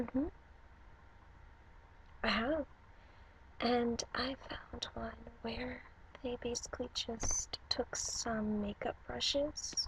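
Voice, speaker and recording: Soft-spoken and at a very slow pace, the voice leaves long, frequent pauses. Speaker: ASMR creator. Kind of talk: ASMR video call role play.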